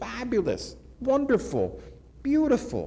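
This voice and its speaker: A man with an American accent, an animated tone and audible room echo. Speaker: keynote speaker. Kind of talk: keynote speech. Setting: conference stage with audience.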